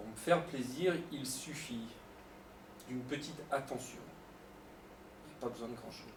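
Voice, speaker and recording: Speaking at a moderate pace and a medium pitch, a man uses ordinary pitch variation, big swings in loudness and long, frequent pauses, with audible room echo. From France, Lyon area. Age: 40s. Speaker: youth football coach. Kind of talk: interview answers. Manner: hesitant, many fillers and repetitions.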